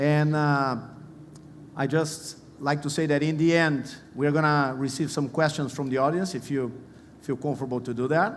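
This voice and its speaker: Set in audible room echo, a man with a Portuguese accent talks at a moderate pace and fairly high pitch with fairly even intonation. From Brazil. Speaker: panel moderator. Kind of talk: conference panel introduction.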